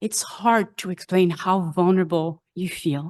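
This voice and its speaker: A woman with a French accent speaks fairly slowly in a fairly low pitch with fairly even intonation against a quiet background. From France. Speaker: congregation member. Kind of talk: personal testimony.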